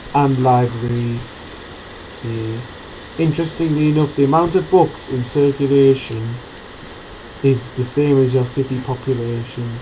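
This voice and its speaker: A man talks at a moderate pace and medium pitch, with fairly even intonation and long, frequent pauses. Noticeable background noise runs underneath. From England, not the south. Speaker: gaming tutorial creator. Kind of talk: gameplay tutorial. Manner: casual, conversational.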